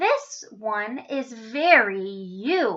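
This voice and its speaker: In a put-on character voice, a woman speaks at a fairly high pitch. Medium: read story. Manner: warm, gentle.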